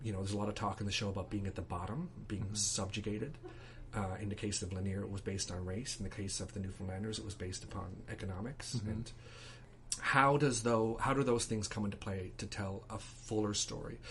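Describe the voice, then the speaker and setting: Against noticeable background noise, a man talks at a very fast pace with a fairly low pitch and ordinary pitch variation. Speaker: playwright. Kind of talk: interview answer.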